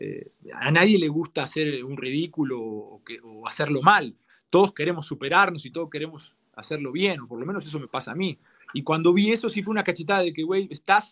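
A man with a fairly high pitch talks at a fairly quick pace, his intonation lively and his loudness swinging widely. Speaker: former footballer turned TV football analyst. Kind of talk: podcast interview.

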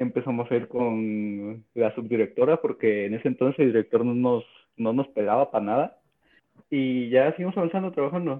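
An ordinary speaking voice from a man, moderately paced, medium-pitched, with ordinary pitch variation. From Mexico, Oaxaca. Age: 20s. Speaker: podcast co-host, programmer. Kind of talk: casual chat.

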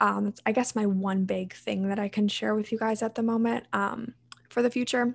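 In a Mid-Atlantic American accent, a woman speaks at a moderate pace with a fairly high pitch and flat, monotone intonation. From US, Maryland. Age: 20s. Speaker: college student and health coach. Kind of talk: interview.

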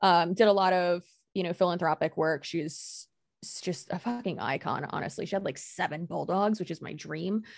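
An ordinary speaking voice from a woman, fairly low, with ordinary pitch variation at a moderate pace, on a very clean recording with a silent background. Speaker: YouTube creator. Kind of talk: casual chat.

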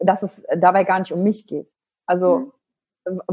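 At a moderate pace, a woman with a medium-pitched, somewhat breathy voice speaks in a dry, close sound with no echo. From western Germany, Wülfrath near Wuppertal. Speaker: business coach and trainer. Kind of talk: interview. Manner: animated.

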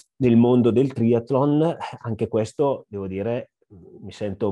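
A man with a Lombard accent and a dark, mellow tone, at a very slow pace over a quiet background. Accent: Brescia (Lombard). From northern Italy, Brescia (Lombardy). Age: 40s. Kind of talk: interview. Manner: hesitant, many fillers.

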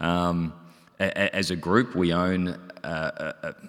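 In a very clean recording with a silent background, a man with a very deep, low voice speaks with an Australian accent. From Melbourne, Australia. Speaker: company executive director. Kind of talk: panel discussion. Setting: stage with audience.

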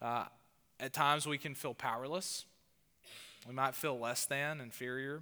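Speaking with a Southern US accent, a man uses a fairly high pitch and a bright, sharp tone at a moderate pace on a very clean recording with a silent background. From US South. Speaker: pastor. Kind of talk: sermon. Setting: church.

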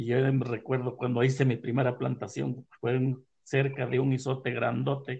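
Hardly any pauses break this flat, monotone delivery, marked by vocal fry. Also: man, medium pitch for a man, moderate pace. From Puebla, Mexico (Tehuacán area). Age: 60s. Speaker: farmer, maguey grower. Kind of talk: storytelling interview. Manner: halting.

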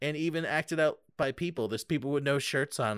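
Close and dry with no echo, a man's voice moves at a fairly quick pace with an animated tone. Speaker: podcast host. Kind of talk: casual banter review chat. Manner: joking, animated.

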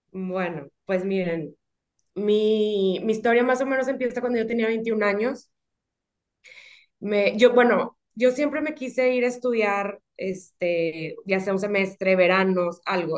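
Pacing is fairly slow as this woman talks at a medium pitch. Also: ordinary pitch variation. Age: 30s. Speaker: guest sharing personal story. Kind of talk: testimony. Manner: halting, many fillers.

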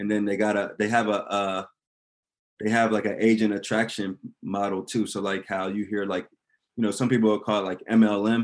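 A man with a fairly low voice speaks at a moderate pace in a monotone, flat intonation. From Delaware. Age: 30s. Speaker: real estate investor. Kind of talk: casual chat.

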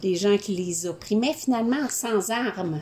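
A woman speaks with ordinary pitch variation. Noticeable background noise sits behind her voice. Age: 50s. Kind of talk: casual chat.

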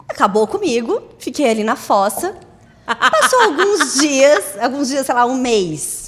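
A woman speaks with a high voice. Her pitch swings very widely. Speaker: podcast co-host. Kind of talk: casual chat.

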